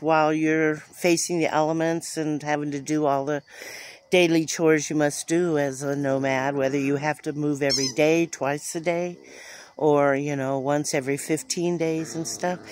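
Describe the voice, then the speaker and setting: A woman with a very deep, low pitch speaks in a monotone, flat way at a moderate pace, the sound dry with no echo and light background noise. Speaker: vlogger. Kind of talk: casual vlog chat. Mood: reflective, a bit weary. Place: garden. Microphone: phone near.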